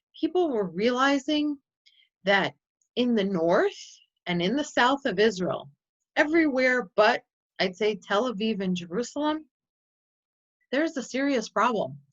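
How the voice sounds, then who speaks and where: A woman with a Chicago accent speaks at a high pitch with very wide pitch swings and long, frequent pauses. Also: fairly slow pace. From US Midwest, Chicago. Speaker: nonprofit representative and tour presenter. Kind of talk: presentation.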